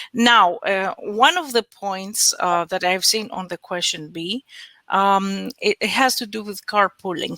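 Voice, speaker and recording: A woman in a Greek accent, bright and sharp in tone, lively in intonation, at a moderate pace. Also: dry, close sound with no echo. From Greece. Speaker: research project expert. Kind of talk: conference Q&A answer. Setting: web conference. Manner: halting, many fillers.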